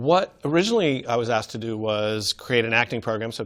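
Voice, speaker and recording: In an American accent, a man speaks at a very fast pace. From New York City. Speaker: acting teacher. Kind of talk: interview.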